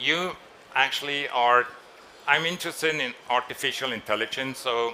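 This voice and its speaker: Noticeable background noise mixes with audible room echo while a man talks. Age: 60s. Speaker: designer. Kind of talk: press conference interview. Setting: trade fair stage.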